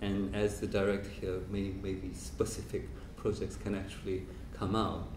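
Audible room echo and light background noise accompany a speaker with a Korean accent. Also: man. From South Korea. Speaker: professor and biennale director; professor. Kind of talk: lecture. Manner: hesitant with many fillers. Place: hall. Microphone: handheld.

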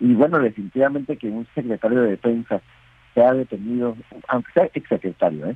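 A man speaks in a normal speaking voice at medium pitch, with ordinary pitch variation. His pace is fairly quick. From Mexicali, Baja California, Mexico. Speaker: newspaper editor. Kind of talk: news interview. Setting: phone or video call.

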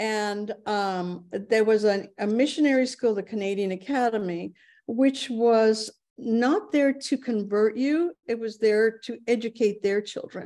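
Against a quiet background, a woman with a dark, mellow tone talks at a fairly slow pace and fairly high pitch with ordinary pitch variation. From Japan (Kobe); Japan. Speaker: advocate and speaker; speaker. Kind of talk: online talk with slides. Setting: video call. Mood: warm, reminiscing. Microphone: video call.

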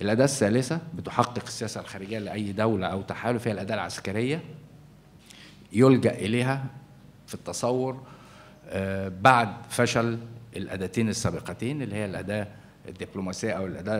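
A plain, everyday voice from a man at medium pitch and moderate pace, with ordinary pitch variation, big swings in loudness and light background noise. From Egypt. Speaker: journalist and newspaper editor; journalist, newspaper editor. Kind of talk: symposium panel talk. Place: hall. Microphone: podium.

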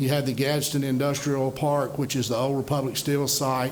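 Noticeable background noise and audible room echo surround a man talking at a moderate pace. His pitch sits fairly high. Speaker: economic development official. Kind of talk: presentation. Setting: city council meeting.

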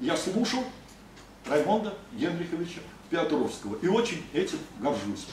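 The speaker's intonation is lively and the pace fairly slow, with audible room echo and light background noise. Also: man. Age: 60s. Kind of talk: ceremonial speech. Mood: respectful, proud. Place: meeting room. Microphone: camera far.

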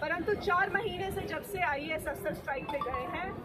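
Fairly slow speech over crowd noise in the background. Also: woman. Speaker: politician at press briefing. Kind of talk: press statement. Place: street. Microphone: handheld.

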